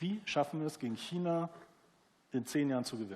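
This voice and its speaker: With lively intonation, the words come at a fairly quick pace. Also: man. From East Germany. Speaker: newspaper publisher. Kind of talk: panel discussion. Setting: theatre stage with audience.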